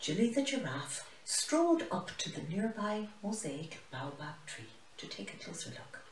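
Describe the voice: A woman at a fairly slow pace, medium in pitch with very wide pitch swings, in audible room echo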